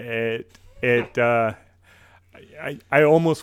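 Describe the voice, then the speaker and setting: In a Minnesotan accent, a man talks at a medium pitch, the sound dry and close with no echo on a very clean recording with a silent background. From US Midwest, Minnesota. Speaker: podcast host. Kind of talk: casual chat.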